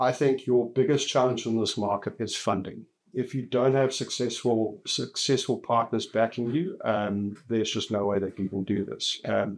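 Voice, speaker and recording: The very clean recording, with a silent background, carries a man's medium-pitched voice. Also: ordinary pitch variation, moderate pace. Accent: South African. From South Africa. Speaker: telecoms company executive. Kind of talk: podcast interview. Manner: hesitant, many fillers and repeats.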